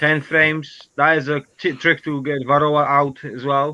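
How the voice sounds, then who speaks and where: A man with a non-native accent, fairly high in pitch, fairly slow and flat, monotone in intonation. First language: not English. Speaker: beekeeper. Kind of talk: casual chat. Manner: halting.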